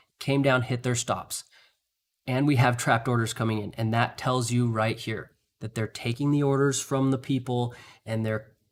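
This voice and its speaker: A man with a medium-pitched voice and fairly even intonation is heard in a very clean recording with a silent background. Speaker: trading streamer. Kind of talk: live trading commentary. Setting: live stream. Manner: fast.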